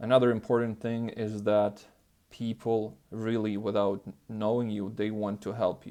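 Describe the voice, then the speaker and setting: Dark and mellow in tone, a man's fairly low voice moves at a fairly slow pace in a flat monotone. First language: not English. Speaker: self-improvement youtuber. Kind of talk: casual vlog monologue. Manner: hesitant, many fillers.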